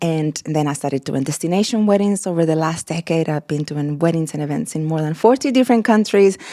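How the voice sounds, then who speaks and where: A woman with a Mexican accent speaks at a very fast pace with hardly any pauses, using a fairly low pitch and lively intonation. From Mexico. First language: Spanish. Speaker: wedding florist and event designer. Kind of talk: podcast interview. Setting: studio, on camera. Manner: enthusiastic.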